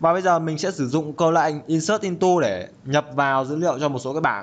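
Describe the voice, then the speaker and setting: A man's fairly high voice at a very fast pace with ordinary pitch variation. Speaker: programming tutor. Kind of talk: tutorial. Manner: casual.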